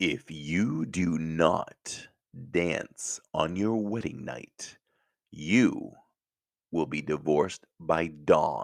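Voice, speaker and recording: A man uses a put-on character voice. It is very deep and low in pitch and delivered at a very slow pace. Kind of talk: formal, pronouncing a curse. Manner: menacing, theatrical.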